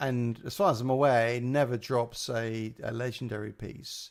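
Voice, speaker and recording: A man speaks with a London accent. His voice sits at a medium pitch. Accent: muddy London. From England (Liverpool, then south coast and London). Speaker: gaming streamer. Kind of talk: live stream casual chat. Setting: live stream. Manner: halting, many fillers.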